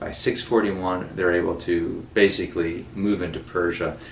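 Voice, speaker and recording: Audible room echo surrounds a man's very deep, low voice with fairly even intonation. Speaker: college teacher. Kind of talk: recorded lecture. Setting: self-recorded video. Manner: fast.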